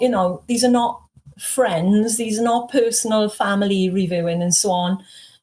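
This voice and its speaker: A woman with a Welsh accent talks at a moderate pace in a somewhat breathy, fairly high voice with ordinary pitch variation. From Wales. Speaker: author. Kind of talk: interview.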